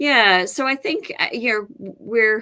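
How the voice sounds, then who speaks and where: The voice has a bright, sharp tone. It comes with an Australian accent. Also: woman. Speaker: professor and department chair. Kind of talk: interview. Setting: live-streamed online broadcast.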